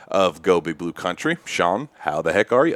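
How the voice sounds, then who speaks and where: A man with a very deep, low pitch speaks in a dry, close sound with no echo. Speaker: sports podcast host. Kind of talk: casual chat. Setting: home office late at night. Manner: quiet.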